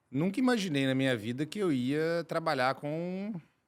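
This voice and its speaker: This man has a Minas Gerais accent. His pitch swings very widely. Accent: Minas Gerais accent, clearly noticeable. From Brazil, Minas Gerais (Belo Horizonte). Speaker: chemical engineer and company director. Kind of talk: podcast interview.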